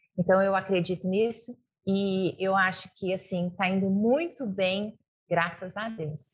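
A woman's medium-pitched, somewhat breathy voice at a fairly slow pace. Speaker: veterinarian, rural producer and radio host. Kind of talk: interview. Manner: fluent, hesitant fillers.

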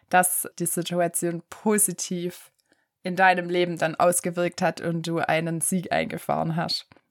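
A woman's fairly low, monotone voice with flat intonation at a fairly slow pace, dry and close with no echo, on a very clean recording with a silent background. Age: 20s. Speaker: podcast host, chemistry student. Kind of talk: solo podcast introduction.

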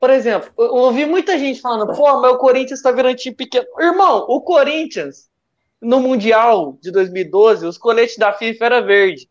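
At a moderate pace, a man speaks with lively intonation in an extremely high pitch. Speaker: sports podcast co-host. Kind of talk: casual chat.

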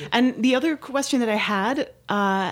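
Lively intonation from a woman with a Dutch accent. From Netherlands. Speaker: musician and podcast host's wife. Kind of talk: casual chat. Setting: studio.

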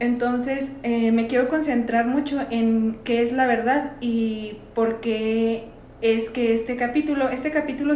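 Over noticeable background noise and audible room echo, a woman speaks in a monotone, flat intonation. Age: 20s. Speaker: parish youth volunteer, bible study podcast host. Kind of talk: bible study discussion.

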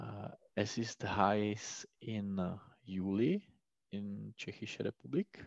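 A man with a fairly low voice speaks at a very slow pace with long, frequent pauses and ordinary pitch variation, in a dry, close sound with no echo and a quiet background. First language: Czech (speaking German). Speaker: language student. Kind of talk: language lesson. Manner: halting.

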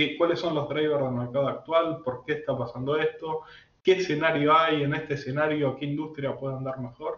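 Speaking fairly quickly, a man delivers his words in a flat monotone at a fairly high pitch. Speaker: AI and algorithmic trading expert. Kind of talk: interview.

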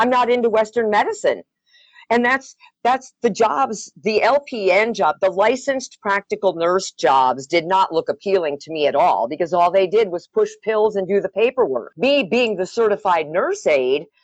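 A woman with an ordinary speaking voice talks at a moderate pace with lively intonation. The sound is dry and close, with no echo. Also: medium pitch for a woman. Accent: American. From US Upper Midwest (Wisconsin). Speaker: massage therapist, former radio worker. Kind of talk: casual chat. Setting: phone call.

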